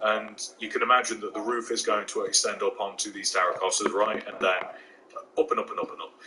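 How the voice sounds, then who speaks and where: A man with an East Midlands accent at a very fast pace, amid noticeable background noise. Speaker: gaming YouTuber. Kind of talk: tutorial. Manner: casual, hesitant with fillers.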